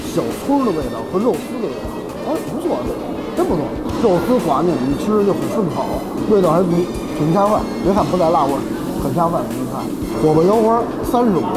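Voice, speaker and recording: The speaker talks at a fairly quick pace while music plays clearly in the background. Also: man. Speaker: food reviewer chef. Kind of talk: casual food review commentary. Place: cafe. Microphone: lapel.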